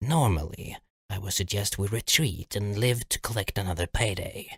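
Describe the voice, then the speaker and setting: A put-on character voice speaks at a moderate pace. The recording is very clean, with a silent background. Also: man, fairly low pitch for a man. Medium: read story.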